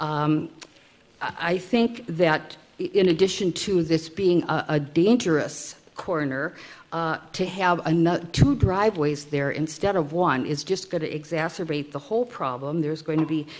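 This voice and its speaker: Fairly low in pitch with ordinary pitch variation, a woman in a normal speaking voice talks at a moderate pace. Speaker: resident speaking at public hearing. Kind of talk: public testimony. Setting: city council meeting.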